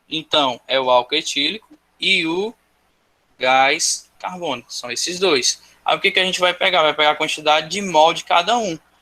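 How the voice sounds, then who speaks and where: A man's high, bright and sharp voice at a moderate pace, with ordinary pitch variation. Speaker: school teacher. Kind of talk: online class lecture.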